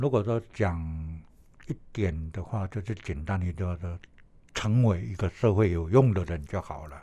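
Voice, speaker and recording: A man speaks at a fairly slow pace in a very deep, low, somewhat breathy voice with a dark, mellow tone, lively intonation and big swings in loudness. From Taiwan, Puli (Nantou). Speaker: retired athletics coach and PE teacher. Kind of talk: interview. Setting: studio. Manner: halting, many fillers.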